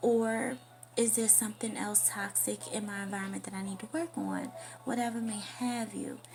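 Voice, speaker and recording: A woman's voice at a moderate pace, with noticeable background noise. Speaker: spiritual affirmations vlogger. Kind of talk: casual monologue vlog. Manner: soft-spoken.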